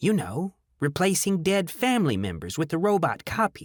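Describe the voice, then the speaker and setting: A man's put-on character voice, high-pitched and croaky, at a moderate pace in a very clean recording with a silent background. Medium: read story. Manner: blunt, curt.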